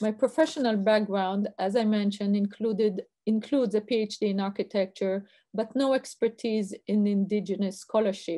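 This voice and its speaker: A woman with an Israeli accent speaks at a moderate pace in a fairly high pitch. Her tone is dark and mellow, and her intonation fairly even. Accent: Israeli accent, noticeable. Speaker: university researcher. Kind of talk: lecture.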